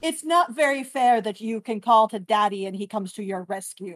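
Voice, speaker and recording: With a female-sounding voice put on as a character, the speaker growls at a fairly high pitch and a moderate pace. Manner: growling, frustrated.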